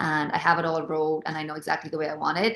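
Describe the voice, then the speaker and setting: A woman speaks with an American accent in a very deep, low voice. The background is quiet. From Ireland, rural midlands village. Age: 30s. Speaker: singer-songwriter. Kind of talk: casual interview chat.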